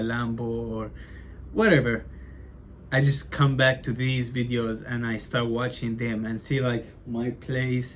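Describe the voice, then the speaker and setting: Speaking at a fairly slow pace, a man keeps a monotone, flat intonation at medium pitch, with audible room echo around him. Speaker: aspiring entrepreneur vlogger. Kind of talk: casual vlog monologue. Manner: stutters a lot; casual, filler-heavy.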